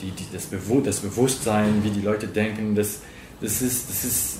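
Noticeable background noise and audible room echo surround a man's voice. He speaks at a moderate pace with a fairly low pitch and ordinary pitch variation. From Cameroon. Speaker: interviewee. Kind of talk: interview. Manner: halting, repeating words.

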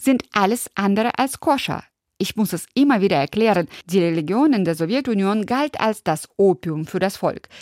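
A woman speaks in an ordinary speaking voice with lively intonation. Her pace is moderate. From former Soviet Union. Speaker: radio host. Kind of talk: scripted narration.

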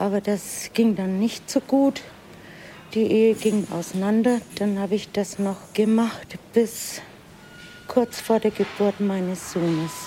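Against noticeable background noise, the speech comes very slowly with fairly even intonation. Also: woman, medium pitch for a woman. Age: 60s. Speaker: hospital cleaner. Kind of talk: interview and work narration.

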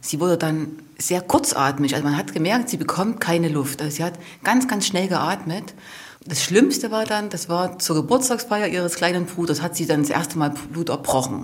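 A woman with an ordinary speaking voice talks at a moderate pace, pitched fairly low, with lively intonation. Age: 40s. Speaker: mother of a patient. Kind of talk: interview testimony.

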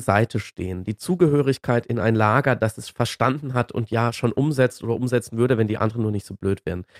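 Recorded very cleanly against a silent background, the sound is dry and close with no echo. An ordinary speaking voice moves at a fairly quick pace with ordinary pitch variation. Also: man. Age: 40s. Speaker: climate debate commentator. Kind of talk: casual chat.

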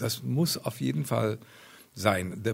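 A man's voice with very wide pitch swings and vocal fry. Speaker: marine scientist. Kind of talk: interview.

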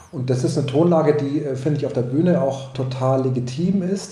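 Against noticeable background noise and audible room echo, a man speaks at a moderate pace with ordinary pitch variation. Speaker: film, opera and theatre director. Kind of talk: radio interview. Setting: pre-recorded radio interview. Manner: hesitant, with filler sounds.

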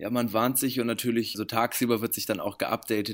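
On a very clean recording against a silent background, a man speaks at a fairly quick pace. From Germany, Bremen. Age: 20s. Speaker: actor, musician and model. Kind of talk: interview.

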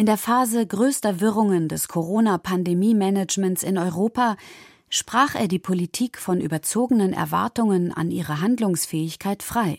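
A woman at medium pitch uses a normal speaking voice with ordinary pitch variation and a moderate pace. The recording is very clean with a silent background, and the sound is dry and close with no echo. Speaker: narrator. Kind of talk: scripted narration.

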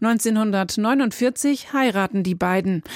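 This recording is very clean, the background silent. It features a female speaker. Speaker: radio reporter. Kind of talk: scripted narration.

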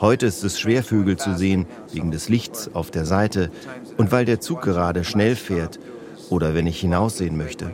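A man talks at a moderate pace in a very deep, low pitch with ordinary pitch variation. Noticeable background noise runs underneath. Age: 70s. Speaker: retired teacher, birdwatcher. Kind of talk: interview.

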